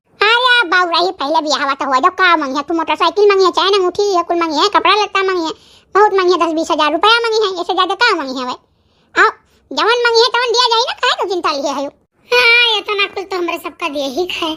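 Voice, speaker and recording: A woman's squeaky, cartoonish character voice at an extremely high pitch, with lively intonation and a fairly quick pace. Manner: brisk, dismissive, in rustic dialect.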